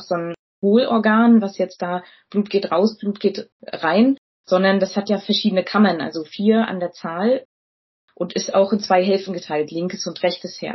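A woman speaks at a moderate pace in a medium-pitched, somewhat breathy voice. Her intonation is fairly even. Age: 30s. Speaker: physician. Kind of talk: educational interview.

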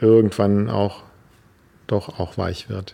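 A man's fairly low, dark, mellow voice with fairly even intonation, on a very clean recording with a silent background. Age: 50s. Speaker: dancer and choreographer, palliative care trainer. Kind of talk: interview explanation.

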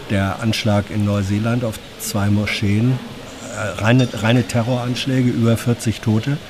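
A man's medium-pitched voice, fairly slow and fairly even in intonation, with noticeable background noise. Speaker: journalist reporting on government press conference. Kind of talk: news recap chat. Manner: measured, explanatory, with hesitations.

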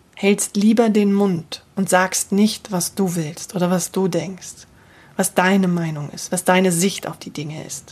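A woman's somewhat breathy, medium-pitched voice at a very slow pace, with ordinary pitch variation. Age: 40s. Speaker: voice and communication coach. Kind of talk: solo podcast monologue. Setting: home office.

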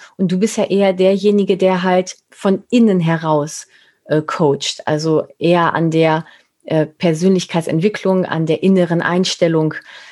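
A woman's ordinary speaking voice, fairly low in pitch, at a moderate pace with fairly even intonation. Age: 40s. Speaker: podcast host and image consultant. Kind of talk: casual interview chat.

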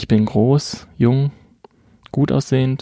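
Dry, close sound with no echo on a man's medium-pitched voice. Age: 20s. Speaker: podcast co-host. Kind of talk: scripted self-introduction.

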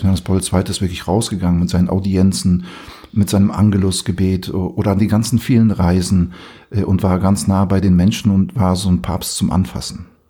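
This man has a very deep, low pitch and a dark, mellow tone. He keeps a moderate pace with fairly even intonation. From Poland. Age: 40s. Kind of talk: casual chat.

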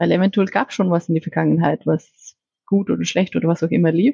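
A woman's fairly quick speech with a dry, close sound and no echo. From Iceland. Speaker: corporate business strategy manager. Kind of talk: interview. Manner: halting, with fillers and repetitions.

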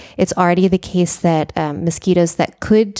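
Speaking in an American accent, a woman uses a dark, mellow tone at a medium pitch, with fairly even intonation and a moderate pace, in a dry, close sound with no echo. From United States. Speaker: climate policy researcher. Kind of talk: interview.

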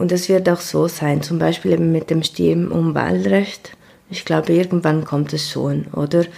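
There is noticeable noise in the background. Over it, a woman talks at a moderate speed. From Ticino, Switzerland. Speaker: migrant activist. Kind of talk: interview. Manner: halting.

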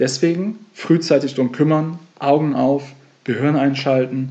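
At a moderate pace, a man speaks with a dark, mellow tone, medium pitch and ordinary pitch variation. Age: 30s. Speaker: financial coach and podcast host. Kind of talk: solo podcast monologue.

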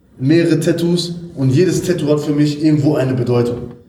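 A man's fairly high, fairly even voice at a moderate pace, with audible room echo. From Germany, Ruhr area (Essen). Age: 30s. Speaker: fitness coach. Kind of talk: interview.

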